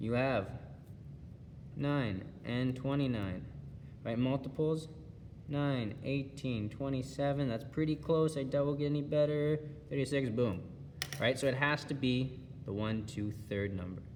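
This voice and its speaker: In a room with audible echo, a man at a medium pitch talks at a fairly slow pace with ordinary pitch variation and long, frequent pauses. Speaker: schoolteacher. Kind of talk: video lesson.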